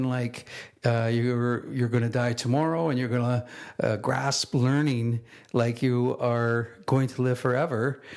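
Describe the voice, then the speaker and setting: A man speaking at a very slow pace. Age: 60s. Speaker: podcast host. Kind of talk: podcast monologue on quotes.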